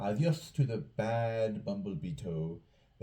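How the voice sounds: What you hear is a natural reading voice.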